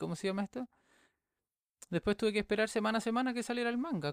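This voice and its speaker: On a very clean recording with a silent background and a dry, close sound with no echo, a man speaks with lively intonation in a Chilean accent. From Chile, Viña del Mar. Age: 20s. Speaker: podcast host. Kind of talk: casual monologue.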